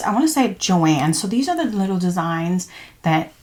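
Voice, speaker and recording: Against noticeable background noise, a woman with a fairly low voice speaks at a fairly quick pace with lively intonation. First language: not English. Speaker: crafting YouTuber. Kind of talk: tutorial. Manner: casual, halting.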